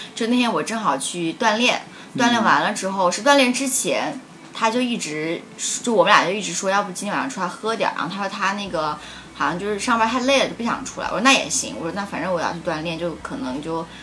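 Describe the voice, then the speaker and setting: A woman's medium-pitched voice at a very fast pace, with lively intonation, audible room echo and noticeable background noise. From Changsha, China. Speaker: guest. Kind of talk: casual chat.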